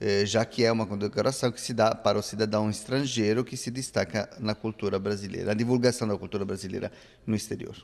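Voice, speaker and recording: In an Italian accent, the speech runs at a fairly quick pace with monotone, flat intonation. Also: man, fairly low pitch for a man. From Italy. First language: Italian (speaking Portuguese). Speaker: radio presenter of Brazilian music. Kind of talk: interview. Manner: halting, with fillers.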